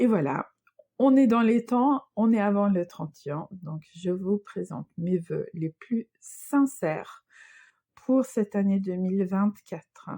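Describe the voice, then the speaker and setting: A woman with a slight Swedish accent, lively intonation and a very slow pace, music in the background. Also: dry, close sound with no echo. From Sweden. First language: Swedish (speaking French). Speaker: knitting and crochet designer, podcaster. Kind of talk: casual podcast monologue. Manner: hesitant, many fillers.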